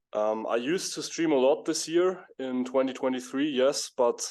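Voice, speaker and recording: The background is quiet as a man speaks at a medium pitch. His pace is fairly slow. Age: 20s. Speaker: professional poker player. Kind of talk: interview. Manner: hesitant, many fillers.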